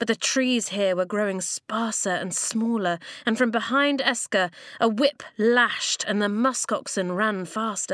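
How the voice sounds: The clip features a natural reading voice whose pitch variation is ordinary.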